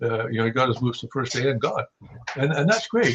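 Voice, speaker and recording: With a western Canadian accent, a man speaks at a medium pitch. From Saskatchewan, Canada. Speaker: hunting guide and writer. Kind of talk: podcast interview. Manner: halting, many repeated words.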